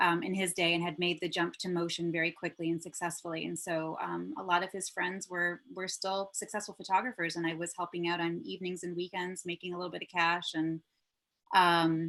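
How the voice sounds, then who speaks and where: A woman's fairly low voice with monotone, flat intonation at a fairly quick pace. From Michigan and Germany. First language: German. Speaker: commercial producer. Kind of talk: interview conversation.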